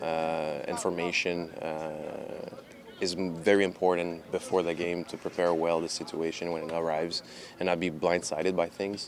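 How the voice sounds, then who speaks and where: In a Quebec accent, a man speaks at a moderate pace with a very deep, low pitch and monotone, flat intonation against noticeable background noise. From Canada. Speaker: professional soccer goalkeeper. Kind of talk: press conference interview. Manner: hesitant, many fillers.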